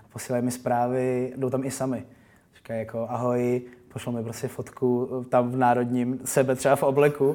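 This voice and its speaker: Flat and monotone in intonation, a man speaks at a fairly quick pace. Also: medium pitch for a man. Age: 20s. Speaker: DJ and musician. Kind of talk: interview.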